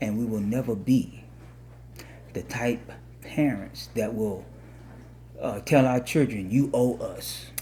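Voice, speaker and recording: A very slow pace from a male speaker. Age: 60s. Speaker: marriage podcast co-host. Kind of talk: casual chat. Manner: halting.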